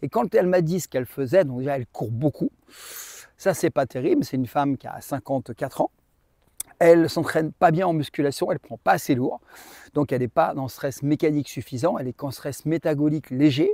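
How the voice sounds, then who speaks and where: On a very clean recording with a silent background and a dry, close sound with no echo, a man with a dark, mellow tone and fairly high pitch shows ordinary pitch variation and big swings in loudness. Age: 60s. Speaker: bodybuilding coach. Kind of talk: casual to-camera talk with sales pitch. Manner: animated.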